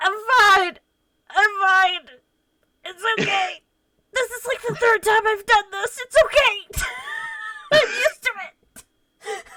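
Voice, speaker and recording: An extremely high, nasal put-on character voice moves at a fairly slow pace with long, frequent pauses. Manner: reassuring, brushing it off, resigned.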